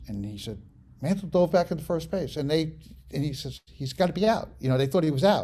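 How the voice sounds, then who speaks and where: With an American accent, a man speaks in a dark, mellow tone that is somewhat breathy, his intonation lively. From New York City, the Bronx. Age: 70s. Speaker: sports photographer. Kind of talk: interview. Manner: halting.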